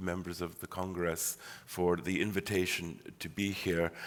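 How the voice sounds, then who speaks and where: Moderately paced speech comes in a bright, sharp tone. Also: man. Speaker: history professor. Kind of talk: academic lecture. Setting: auditorium lecture. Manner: hesitant, many fillers.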